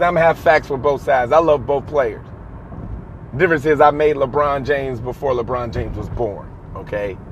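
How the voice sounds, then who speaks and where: Amid noticeable background noise, a man talks at a fairly high pitch. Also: ordinary pitch variation, fairly quick pace. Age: 30s. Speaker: sports podcast host. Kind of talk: solo sports commentary monologue.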